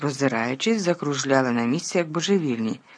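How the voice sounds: Intonation runs lively as the text is delivered in a natural reading voice.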